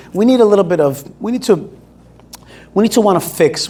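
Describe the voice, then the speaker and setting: Here a man speaks at a very fast pace with ordinary pitch variation. Noticeable background noise runs underneath. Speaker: speaker and activist. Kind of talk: talk with audience Q&A. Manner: animated.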